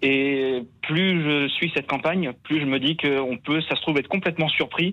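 A man's fairly high voice at a moderate pace, with ordinary pitch variation and an unremarkable speaking voice. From Vendée, western France. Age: 20s. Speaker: caller, teacher. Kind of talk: phone-in discussion.

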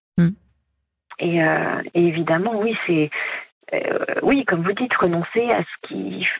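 At a very slow pace with long, frequent pauses, a woman speaks at a fairly low pitch with lively intonation. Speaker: caller. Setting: phone call.

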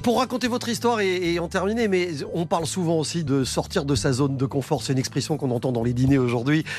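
A very fast, fairly high male voice with very wide pitch swings over noticeable background noise. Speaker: radio host. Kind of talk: casual radio chat. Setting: studio.

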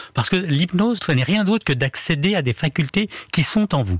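Over a quiet background, a man's somewhat breathy voice moves through very wide pitch swings. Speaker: hypnotherapist. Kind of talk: radio interview. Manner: calm, soothing.

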